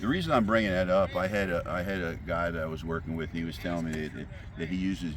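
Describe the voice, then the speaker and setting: A man with a very deep, low pitch talks at a fairly quick pace. His intonation is fairly even, and room echo is audible. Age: 70s. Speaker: softball hitting coach. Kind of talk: casual instructional chat.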